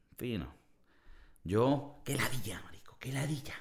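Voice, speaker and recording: A man speaks at medium pitch in an animated tone. Vocal fry runs through his voice. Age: 30s. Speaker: podcast host. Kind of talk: casual monologue.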